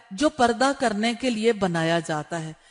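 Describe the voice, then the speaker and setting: Over a quiet background, a woman's voice moves in very wide pitch swings. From Pakistan. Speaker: Islamic scholar and preacher. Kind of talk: religious lecture on Hajj rules for women.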